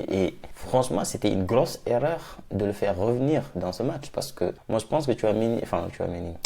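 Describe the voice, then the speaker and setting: Dark and mellow in tone, a man speaks at a fairly quick pace with a medium pitch and ordinary pitch variation. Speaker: football YouTuber. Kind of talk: match debrief vlog. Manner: soft-spoken; animated.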